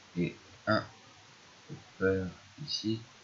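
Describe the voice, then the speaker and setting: A man speaks quietly with ordinary pitch variation. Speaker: gaming youtuber. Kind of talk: gameplay commentary. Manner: hesitant. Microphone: poor microphone.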